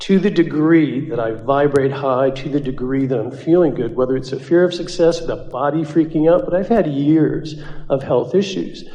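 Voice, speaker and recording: At a moderate pace, a man speaks in a plain, everyday voice with a fairly high pitch and ordinary pitch variation. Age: 60s. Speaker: workshop participant asking a question. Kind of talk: audience Q&A with a channeler.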